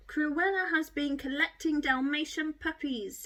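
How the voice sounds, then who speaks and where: A woman's gruff, put-on character voice, high in pitch, with ordinary pitch variation at a moderate pace. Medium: read story.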